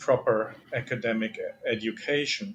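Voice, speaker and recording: A man with a German accent and a fairly high pitch, over noticeable background noise. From Germany. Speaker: philosophy professor. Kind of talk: interview. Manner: hesitant, many fillers.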